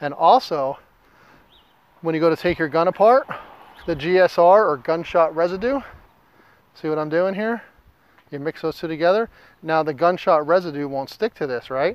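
In an American accent, a man speaks at a high pitch with ordinary pitch variation and a moderate pace. Long, frequent pauses break it up, and the sound is dry with no echo. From US Mountain West. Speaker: gunsmith and outdoor YouTuber. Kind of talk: tutorial. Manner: halting, stumbles over words; casual, folksy. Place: garden. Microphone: lapel.

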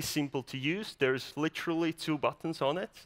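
The tone is bright and sharp, with ordinary pitch variation. The pace is moderate over a quiet background. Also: man. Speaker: startup founder; presenter. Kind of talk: startup pitch presentation. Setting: stage with audience. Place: stage. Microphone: headset.

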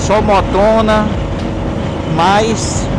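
A man's voice comes through dry and echo-free despite loud background noise. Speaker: motorcycle rider vlogger. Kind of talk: casual moto vlog chat. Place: motorbike. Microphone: helmet.

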